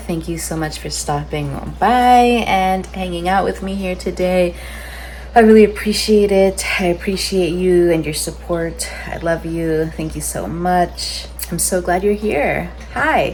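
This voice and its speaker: Noticeable background noise fills the clip. A woman with an American accent speaks at a fairly slow pace. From San Diego, California. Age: 20s. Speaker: biologist. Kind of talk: casual talk to camera. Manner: upbeat.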